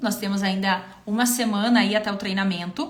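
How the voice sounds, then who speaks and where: A woman's voice with fairly even intonation, audible room echo and noticeable background noise. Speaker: visual merchandising consultant and trainer. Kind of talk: live stream Q&A with sales pitch. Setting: Instagram live stream.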